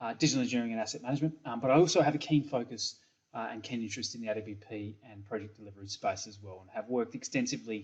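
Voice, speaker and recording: A man with an Australian accent at medium pitch and a very fast pace. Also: ordinary pitch variation, big swings in loudness. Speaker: software company principal. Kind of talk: conference presentation. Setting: pre-recorded video presentation. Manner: hesitant with many fillers.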